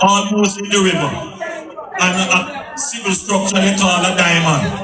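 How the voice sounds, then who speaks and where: The speaker uses a raised, projected voice in a Jamaican accent at a fairly slow pace. Noticeable background noise runs underneath. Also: man, high pitch for a man, ordinary pitch variation. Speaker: politician. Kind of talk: political campaign speech. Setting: outdoors.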